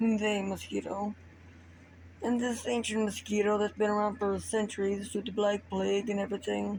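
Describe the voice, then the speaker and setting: A soft-spoken, somewhat breathy woman at a moderate pace, in a monotone, flat intonation. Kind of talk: improvised story told to camera. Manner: quiet, soft-spoken.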